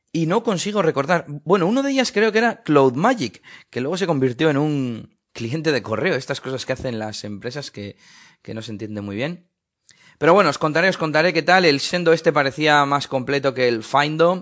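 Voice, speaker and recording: The speaker delivers words at a fairly quick pace with lively intonation against a quiet background. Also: man, fairly high pitch for a man. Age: 30s. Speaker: tech podcaster. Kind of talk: casual monologue recorded on phone. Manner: hesitant with fillers.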